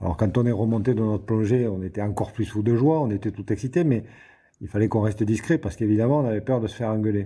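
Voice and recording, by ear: A man with a southern French accent talks at a fast pace in a fairly low voice, his tone dark and mellow with a slightly husky edge and ordinary pitch variation.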